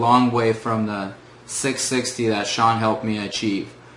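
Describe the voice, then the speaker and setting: A man at a medium pitch in a flat monotone, fairly slow, with audible room echo and noticeable background noise. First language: Russian. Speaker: former test-prep student. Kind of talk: testimonial. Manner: hesitant, many filler words.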